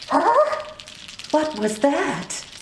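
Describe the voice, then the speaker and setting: This is a put-on character voice with a high pitch. A slight echo can be heard. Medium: stage play.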